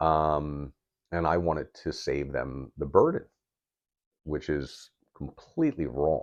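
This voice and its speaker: A man talks very slowly, pausing often and at length. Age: 50s. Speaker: mental health vlogger. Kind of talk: personal testimony to camera. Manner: halting, with repetitions.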